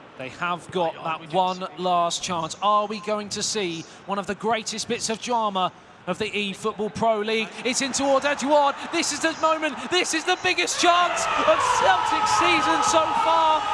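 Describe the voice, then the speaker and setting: A man's shrill, raised, projected voice at an extremely high pitch carries an excited tone, very wide pitch swings, and a fairly slow pace over noticeable background noise. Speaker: esports commentator. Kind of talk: live commentary. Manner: excited, shrill at the goal.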